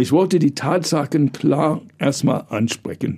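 A man speaks fairly slowly at a fairly high pitch, with ordinary pitch variation. His tone is dark and mellow, with vocal fry. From US, New York. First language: English (speaking German). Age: 60s. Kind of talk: interview. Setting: studio.

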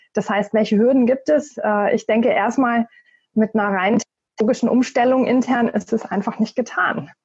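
A woman speaks at a moderate pace in a plain, everyday voice, pitched fairly high. Her loudness stays very even, and her intonation is fairly even. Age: 40s. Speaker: corporate networking and new work expert. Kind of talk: podcast interview.

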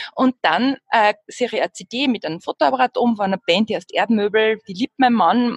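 A medium-pitched woman sounds somewhat breathy in a dry, close recording with no echo. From Upper Austria. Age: 40s. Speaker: jazz singing teacher and musician. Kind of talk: casual interview.

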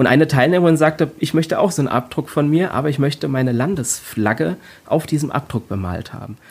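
This man's intonation is lively. He talks at a fairly quick pace. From Rhein-Main area, Germany. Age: 40s. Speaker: body art artist. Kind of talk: interview. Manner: halting, many fillers.

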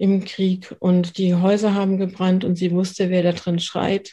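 A woman's medium-pitched voice, dark and mellow in tone, with monotone, flat intonation at a moderate pace. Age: 50s. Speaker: trauma therapist. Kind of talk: interview.

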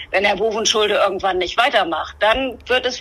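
A woman speaks in a normal speaking voice at a fairly quick pace. Her pitch sits fairly high, with ordinary variation. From northern Germany, Bremen-Nord. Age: 50s. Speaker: politician. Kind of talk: interview. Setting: remote connection.

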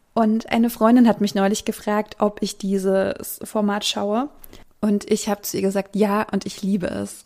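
The tone is dark and mellow. Pacing is moderate, and the intonation stays fairly even. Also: woman. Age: 30s. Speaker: podcast host. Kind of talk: casual chat.

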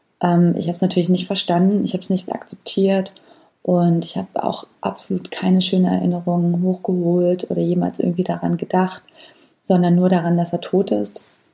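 Her tone is dark and mellow, somewhat breathy, with a fairly low pitch. The woman keeps a monotone, flat intonation at a fairly quick pace. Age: 30s. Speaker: podcast host. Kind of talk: personal storytelling monologue. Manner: hesitant with frequent fillers.

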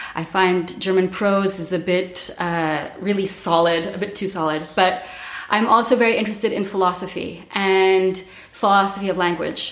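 In a room with audible echo and noticeable background noise, a woman speaks at a moderate pace in a medium-pitched voice with monotone, flat intonation. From Montreal, Canada. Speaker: coach and workshop leader. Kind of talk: casual interview.

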